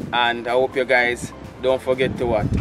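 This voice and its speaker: Clear music plays behind a man speaking at a moderate pace. He talks with a Jamaican accent. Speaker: vlogger and portrait artist; vlogger host. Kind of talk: casual vlog talk. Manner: animated. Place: garden. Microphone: camera far.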